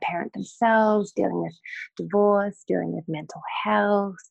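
A woman with an Australian accent. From North Queensland, Australia. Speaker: acupuncturist and life coach. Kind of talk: casual interview chat.

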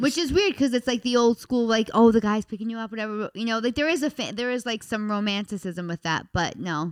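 A woman with a fairly high pitch speaks at a very fast pace with lively intonation and hardly any pauses. The sound is dry and close, with no echo. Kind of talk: casual banter. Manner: loud, outspoken.

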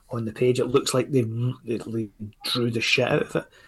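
Somewhat breathy and flat in intonation, a man with a Scottish accent talks in a monotone at a medium pitch. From Scotland. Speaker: indie comics creator. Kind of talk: casual chat. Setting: video call.

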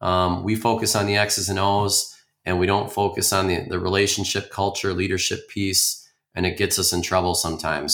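Speaking at a moderate pace, a man with a fairly low pitch has an Upper Midwest accent. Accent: Upper Midwest (Minnesota). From Minnesota, Twin Cities suburbs. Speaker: high school coach and principal. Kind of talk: interview conversation. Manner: frequent fillers and repetitions.

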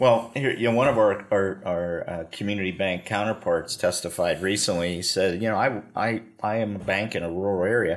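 The speech moves at a fairly quick pace with fairly even intonation and hardly any pauses. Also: man, fairly low pitch for a man. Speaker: podcast host. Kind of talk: interview discussion on banking policy. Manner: conversational, hesitant with fillers.

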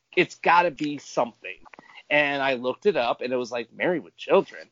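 Speaking with an American accent, the man keeps to a moderate pace. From Michigan. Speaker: Patreon fan, podcast roundtable guest. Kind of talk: casual chat about a TV show.

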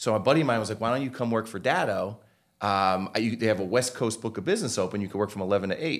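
A man with an American accent talks very fast at a fairly low pitch with ordinary pitch variation. The recording is very clean, with a silent background. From Connecticut. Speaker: tech company executive. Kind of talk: interview.

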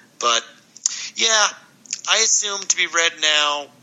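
A man speaks over noticeable background noise. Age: 50s. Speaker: graphic novel author. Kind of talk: casual chat.

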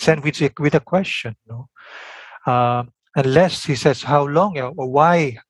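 A man with a Filipino accent speaks at a fairly slow pace in a fairly high, somewhat breathy voice with ordinary pitch variation, recorded very cleanly against a silent background with a dry, close sound and no echo. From Philippines. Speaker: biblical scholar and seminary teacher. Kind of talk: interview.

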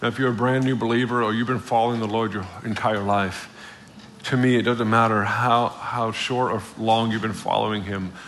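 Amid noticeable background noise, a man with a medium pitch talks at a fairly quick pace. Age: 40s. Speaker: visiting preacher. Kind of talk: sermon. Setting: church with congregation. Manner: animated.

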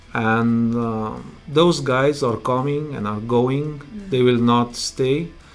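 Speaking at a very slow pace with a Romanian accent, a man uses a medium pitch and ordinary pitch variation. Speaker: truck driver and driver coach. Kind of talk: interview, casual conversation. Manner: halting, hesitant with fillers.

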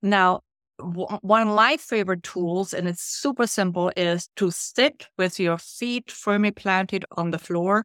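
A woman with a German accent speaks at medium pitch and a fairly slow pace, with ordinary pitch variation. The recording is very clean, with a silent background. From Germany. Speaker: leadership coach and author. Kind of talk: interview conversation.

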